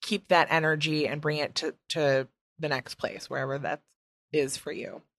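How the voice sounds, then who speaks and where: A woman's very deep, low voice with a Midwestern US accent, at a moderate pace with fairly even intonation and a dry, close sound with no echo. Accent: Midwest American, long vowels. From US Midwest. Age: 20s. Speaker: podcast host. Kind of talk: casual chat, interview. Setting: home recording, dog and partner nearby.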